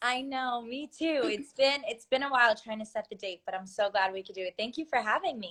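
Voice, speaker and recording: A woman with an American accent speaks in a high voice with a bright, sharp tone, lively intonation, big swings in loudness and hardly any pauses. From US, Maryland. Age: 20s. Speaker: singer. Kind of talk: interview.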